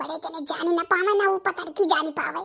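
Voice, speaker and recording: A woman performs a cartoonish character voice. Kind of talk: rustic cartoon comedy. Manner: coaxing, bossy.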